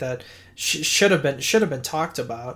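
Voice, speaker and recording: This man speaks with an American accent and a somewhat breathy voice. His pitch variation is ordinary. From Boston, Massachusetts. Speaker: podcast co-host. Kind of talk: casual chat. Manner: halting, many fillers.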